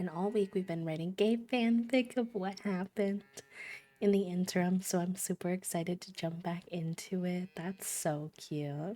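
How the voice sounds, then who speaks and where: A woman of medium pitch with ordinary pitch variation, music in the background. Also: moderate pace. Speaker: streamer. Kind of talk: casual chat.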